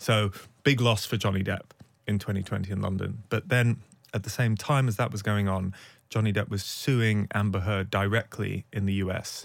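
With a British accent, a man speaks at a moderate pace, his pitch fairly low and his intonation fairly even. The recording is very clean, the background silent. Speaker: investigative journalist and podcast host. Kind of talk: interview.

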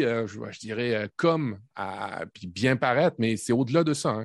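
Against a quiet background, a man with a medium pitch and lively intonation talks at a very slow pace, the sound dry and close with no echo. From Quebec, Canada (born in Normandy). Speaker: tech podcast co-host, team manager. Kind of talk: casual chat. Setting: video call.

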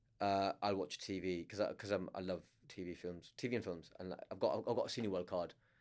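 A man with a Lancashire accent speaks at a fairly quick pace in a very deep, low pitch. His intonation is monotone and flat. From northern England, Blackburn, Lancashire. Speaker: stand-up comedian. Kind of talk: casual chat. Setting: studio.

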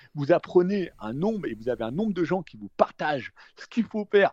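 A man speaks in a high voice with very wide swings in pitch. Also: dry, close sound with no echo. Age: 40s. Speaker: trader and investor. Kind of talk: casual interview.

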